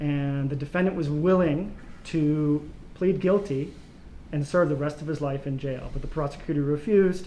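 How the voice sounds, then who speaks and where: A man's fairly high, fairly even voice with a Mid-Atlantic accent. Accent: American, Mid-Atlantic. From US, Baltimore. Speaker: political science professor. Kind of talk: academic Q&A answers.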